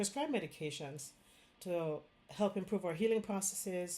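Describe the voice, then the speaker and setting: With a Jamaican accent, a woman speaks in a fairly low pitch with a dark, mellow tone and ordinary pitch variation. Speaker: Chinese medicine doctor. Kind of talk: direct-to-camera health talk. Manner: casual, with fillers.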